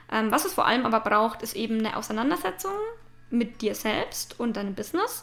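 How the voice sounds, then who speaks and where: A woman with a fairly high pitch at a moderate pace, with noticeable background noise. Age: 20s. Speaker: podcast host and branding photographer. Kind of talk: casual monologue. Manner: hesitant fillers.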